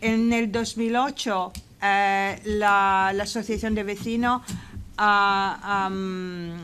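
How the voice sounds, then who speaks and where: With fairly even intonation, a woman talks at a very slow pace and a medium pitch. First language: English (speaking Spanish). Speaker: residents' association representative. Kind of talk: parliamentary committee hearing. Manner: halting, many fillers.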